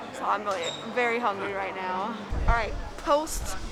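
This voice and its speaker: A woman with a fairly high voice talks at a fairly slow pace, her intonation lively, over noticeable background noise. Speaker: theme park vlogger. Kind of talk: casual vlog commentary on a tour. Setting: outdoors in winter set.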